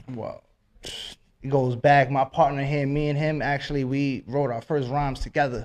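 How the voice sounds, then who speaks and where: A man with a New York accent and an animated tone speaks at a fairly high pitch and a moderate pace. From Westchester County, New York. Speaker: rapper. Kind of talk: radio interview.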